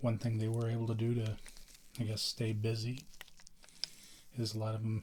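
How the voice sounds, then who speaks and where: A soft-spoken, somewhat breathy man at medium pitch, fairly quick and monotone, with flat intonation. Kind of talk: ASMR, soft-spoken talk to camera.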